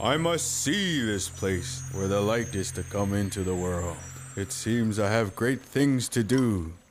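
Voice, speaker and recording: A cartoonish character voice at a fairly slow pace. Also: man, fairly low pitch for a man. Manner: unhurried, warmly authoritative.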